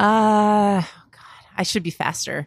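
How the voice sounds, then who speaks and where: Speaking very slowly at a medium pitch, a woman is heard with a dry, close sound, no echo, on a very clean recording with a silent background. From Western New York, Buffalo area (Cheektowaga). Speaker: sports TV producer. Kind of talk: casual interview chat. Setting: coffee shop.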